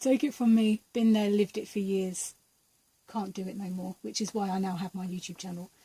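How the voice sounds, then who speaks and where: A woman talks at a fairly quick pace and medium pitch. Her tone is dark and mellow and somewhat breathy. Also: fairly even intonation. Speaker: tarot and energy reader. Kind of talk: pick-a-card tarot reading.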